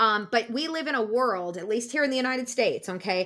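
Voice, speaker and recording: A woman with a Midwestern accent speaks fairly quickly in a bright, sharp tone, her pitch varying in an ordinary way. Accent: General American (Midwest). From US Midwest (Iowa). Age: 50s. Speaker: speech language pathologist and podcast host. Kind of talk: casual chat. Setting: home recording studio.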